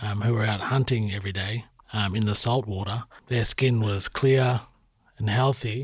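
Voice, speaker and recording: A man's somewhat breathy, medium-pitched voice with an Australian accent, a moderate pace and ordinary pitch variation, on a very clean recording with a silent background. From Shepparton, Victoria, Australia. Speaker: podcast host. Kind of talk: interview conversation. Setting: studio.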